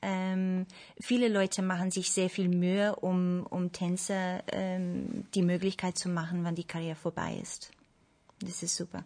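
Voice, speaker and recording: A woman with a dark, mellow tone speaks fairly slowly at a medium pitch, her intonation monotone and flat, against a quiet background. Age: 30s. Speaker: ballet dancer. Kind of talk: panel discussion. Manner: hesitant, many fillers.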